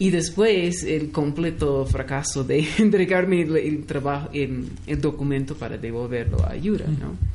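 A woman with a very deep, low voice speaks fairly slowly, with lively intonation and hardly any pauses. Audible room echo and noticeable background noise fill the recording. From US West Coast (Los Angeles). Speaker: anthropologist and music researcher. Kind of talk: radio interview.

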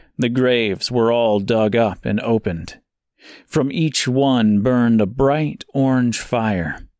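A man speaks at a very slow pace in a calm, gentle tone, with ordinary pitch variation and very even loudness. The recording is very clean, with a silent background. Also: medium pitch for a man. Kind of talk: literary audiobook reading, dark fantasy narration. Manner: measured, dramatic storytelling pace; shifts to a calm, gentle tone for the stranger's dialogue.

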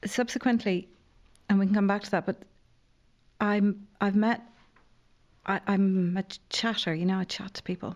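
A woman with a Dublin accent speaks at a medium pitch and moderate pace, her intonation fairly even. She leaves long, frequent pauses in a very clean recording with a silent background. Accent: Irish (Dublin). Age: 50s. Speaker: playwright and newspaper columnist. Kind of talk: casual chat.

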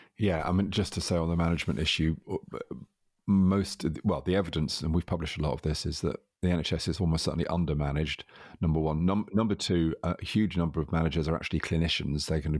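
In a very clean recording with a silent background, a man with a very deep, low voice talks at a very fast pace with fairly even intonation. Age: 60s. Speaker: podcast host, health organisation leader. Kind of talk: interview conversation. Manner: hesitant, repeats words.

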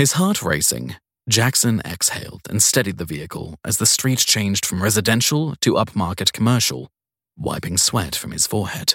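A man with fairly low pitch and a slightly husky edge speaks with lively intonation and a fairly bright tone. The sound is dry and close with no echo, on a very clean recording with a silent background. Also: moderate pace.

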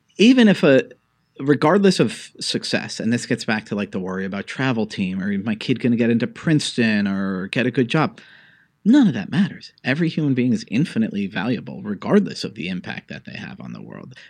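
Against a quiet background, a man's voice swings very widely in pitch and carries vocal fry. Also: medium pitch for a man, fairly quick pace, big swings in loudness. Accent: American. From New York City (Greenwich Village). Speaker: think tank fellow and political columnist. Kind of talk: interview conversation.

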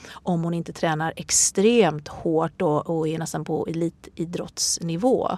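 Here a woman speaks at a fairly low pitch. Her tone is dark and mellow. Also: fairly even intonation, fairly slow pace, hardly any pauses. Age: 40s. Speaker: yoga instructor and author. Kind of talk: interview.

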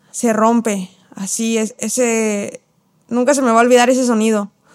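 Fairly high in pitch, a woman speaks in a flat monotone at a very slow pace. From Mexico City. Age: 20s. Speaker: professional footballer. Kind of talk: interview. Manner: halting, frequent repetitions.

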